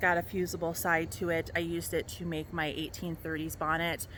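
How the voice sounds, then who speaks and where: A woman speaks with an American accent and a fairly low pitch. Her voice carries vocal fry. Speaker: costume maker and sewing vlogger. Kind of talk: tutorial. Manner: hesitant, many fillers.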